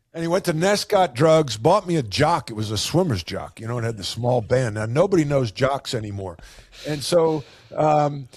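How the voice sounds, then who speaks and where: A man's fairly high, somewhat breathy voice with an American accent, very wide pitch swings and a moderate pace. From US Northeast, Long Island, New York. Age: 60s. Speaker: business coach, former basketball player and coach. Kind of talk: podcast interview.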